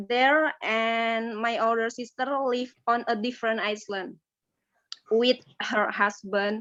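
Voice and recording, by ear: A woman speaks slowly in a fairly high voice. Her tone is fairly bright, with little pitch movement.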